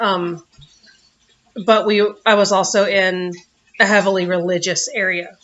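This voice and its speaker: The speech moves at a fairly slow pace, with long, frequent pauses and monotone, flat intonation. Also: woman, medium pitch for a woman. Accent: Southern US. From US South. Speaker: vlogger. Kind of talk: personal vlog. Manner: words run together.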